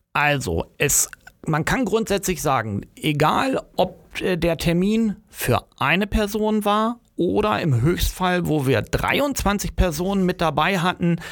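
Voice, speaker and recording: Speaking at a very slow pace, a man with a high pitch uses lively intonation and very even loudness. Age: 50s. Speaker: project manager. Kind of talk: interview. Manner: hesitant with fillers.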